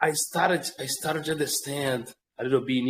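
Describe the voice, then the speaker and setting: A man with a Portuguese accent talks at a fairly slow pace and a medium pitch. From Brazil. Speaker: English language learner. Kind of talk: casual chat. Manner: halting.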